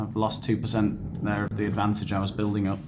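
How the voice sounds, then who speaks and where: A man is speaking. Room echo can be heard. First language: not Spanish. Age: 30s. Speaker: YouTuber. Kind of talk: casual commentary on an online quiz. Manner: sarcastic, conversational.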